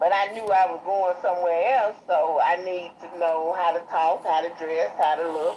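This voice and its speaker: In a Chicago accent, a woman speaks at a fairly low pitch with ordinary pitch variation. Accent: country-sounding Chicago. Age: 60s. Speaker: guest. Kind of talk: casual chat. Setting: livestream.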